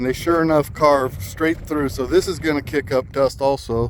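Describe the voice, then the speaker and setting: A man talks with a fairly high pitch and ordinary pitch variation. His pace is moderate, and noticeable background noise is present. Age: 60s. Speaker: local resident filming complaint. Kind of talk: casual narration while filming.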